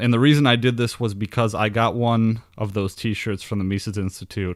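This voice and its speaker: In a very clean recording with a silent background, a man with an American accent speaks at a fairly quick pace. His medium pitch follows fairly even intonation. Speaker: podcast host. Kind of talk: podcast monologue with sponsor plugs.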